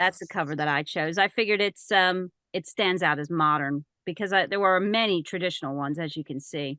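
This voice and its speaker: A woman with a plain, everyday voice and fairly low pitch talks at a fairly quick pace with ordinary pitch variation, recorded dry and close with no echo against a quiet background. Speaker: voice actor and audiobook narrator. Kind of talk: presentation to a writers group. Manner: casual, conversational.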